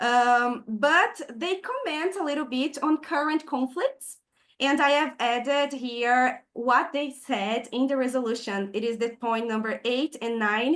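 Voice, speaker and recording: A woman with a Brazilian Portuguese accent, high in pitch with ordinary pitch variation, at a fairly slow pace with hardly any pauses. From southern Brazil. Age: 20s. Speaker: peace activist. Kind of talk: online presentation.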